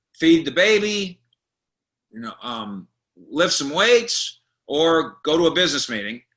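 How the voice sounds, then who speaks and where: A man with an American accent has a fairly high voice with a bright, sharp tone and vocal fry. His pitch makes very wide swings. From Colorado. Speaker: sports journalist. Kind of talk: interview. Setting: video call.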